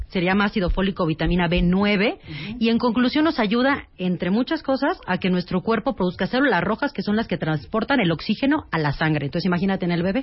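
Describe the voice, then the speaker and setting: A woman's medium-pitched voice with very wide pitch swings at a fairly quick pace, against noticeable background noise. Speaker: gynecologist. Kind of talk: interview.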